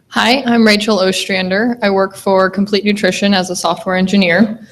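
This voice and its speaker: With an American accent, a woman at a medium pitch speaks at a moderate pace with fairly even intonation and very even loudness, amid noticeable background noise. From US Midwest, western Nebraska. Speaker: software engineer. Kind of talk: panel talk.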